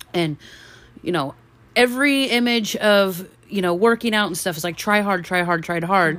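Using an unremarkable speaking voice, a woman talks at a moderate pace with a medium pitch and ordinary pitch variation. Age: 40s. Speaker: podcast co-host. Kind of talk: casual chat.

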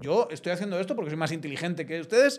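Lively in intonation, a man with a Castilian accent speaks in a high voice. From Spain, Zamora. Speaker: podcast host and political analyst. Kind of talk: casual political discussion. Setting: studio.

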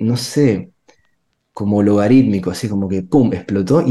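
The man's tone is dark and mellow. His voice sits at a fairly low pitch. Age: 30s. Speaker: pastor. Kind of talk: casual chat.

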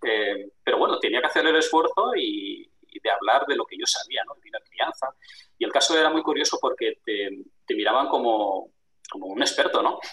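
The sound is close and dry, free of echo. A man talks at a moderate speed, his loudness swinging widely. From Spain, Barcelona. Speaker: international trade businessman. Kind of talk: interview.

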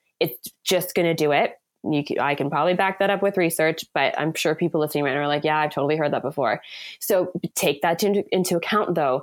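A woman with a normal speaking voice talks at a fairly quick pace in a fairly low pitch, with ordinary pitch variation and very even loudness, on a very clean recording with a silent background. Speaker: author and poet. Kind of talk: casual interview conversation.

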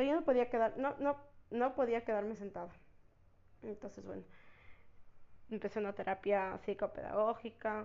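A woman speaks with a fairly high pitch and some vocal fry. Her speech has long, frequent pauses. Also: ordinary pitch variation, moderate pace. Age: 20s. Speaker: podcast host, university student. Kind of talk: personal storytelling monologue. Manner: casual, hesitant with many fillers.

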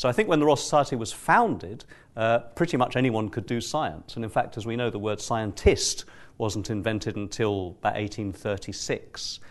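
Against a quiet background, a man talks in an ordinary speaking voice at medium pitch with ordinary pitch variation. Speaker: neuroscientist and event moderator. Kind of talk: moderating a panel event. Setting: live event with audience.

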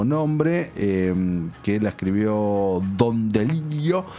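The intonation is lively. Music plays in the background. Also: man. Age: 30s. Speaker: film critic. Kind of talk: casual chat.

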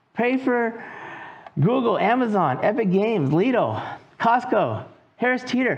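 The speech moves at a fairly slow pace, broken by long, frequent pauses. Noticeable background noise runs underneath. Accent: American. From California. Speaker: pastor. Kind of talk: sermon.

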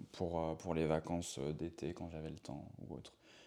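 A man talks at a moderate pace with a very deep, low pitch. His intonation is monotone and flat, with vocal fry. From Brittany, France. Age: 30s. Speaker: professional dancer. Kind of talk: interview. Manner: hesitant, many fillers.

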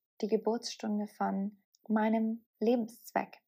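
This woman's voice has a dark, mellow tone. The recording is very clean, with a silent background. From southern Bavaria, Germany. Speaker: podcast host and mindset coach. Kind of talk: solo podcast monologue.

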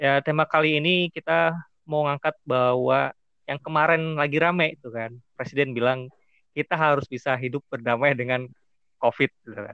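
A man speaks at a moderate pace in an ordinary speaking voice. His pitch is fairly high, with ordinary pitch variation. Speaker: podcast host. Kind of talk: casual interview chat. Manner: casual, occasionally stumbling over words.

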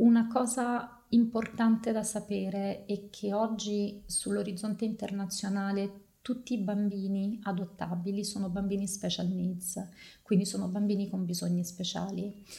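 A woman speaks at a fairly slow pace in a medium-pitched, somewhat breathy voice with a dark, mellow tone. Her intonation is monotone and flat. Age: 40s. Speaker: photography curator and adoptive mother. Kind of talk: podcast interview. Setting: studio, on video.

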